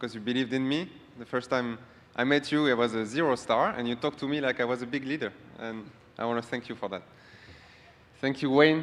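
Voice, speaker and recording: With a French accent, a man speaks at a medium pitch and a fairly quick pace, his intonation fairly even. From France. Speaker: award-winning business partner. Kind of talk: acceptance speech.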